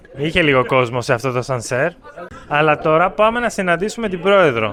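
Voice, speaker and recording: Noticeable background noise sits behind a man with a fairly high pitch. He talks at a fairly slow pace with lively intonation. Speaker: language teacher vlogger. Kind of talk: casual vlog talk. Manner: slow and clear.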